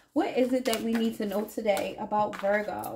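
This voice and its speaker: A woman talks at a fairly quick pace with noticeable background noise around her. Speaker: tarot reader. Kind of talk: tarot reading monologue. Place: home room.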